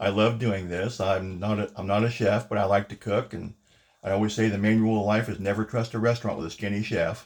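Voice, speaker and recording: Speaking at a very fast pace, a man holds a monotone, flat intonation at a fairly low pitch on a very clean recording with a silent background. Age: 60s. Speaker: home cooking video host, navy veteran. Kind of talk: cooking tutorial. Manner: casual, chatty.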